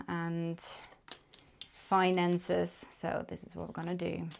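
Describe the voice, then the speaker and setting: A woman speaks with a German accent at a moderate pace. Her pitch sits fairly low. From Germany. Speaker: tarot reader. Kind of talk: tarot reading to camera. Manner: casual, hesitant with fillers.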